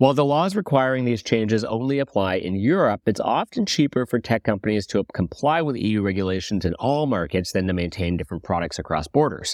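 Talking fairly quickly with hardly any pauses, a man has a plain, everyday voice at a medium pitch with lively intonation, in a dry, close sound with no echo. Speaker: podcast host. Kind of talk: news reading, scripted business news briefing. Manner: brisk, even newsreader delivery, clear and authoritative; light, jokey banter in the intro.

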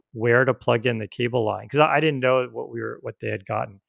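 This man uses an ordinary speaking voice with medium pitch and ordinary pitch variation. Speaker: podcast host. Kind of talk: casual chat. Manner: relaxed, talkative.

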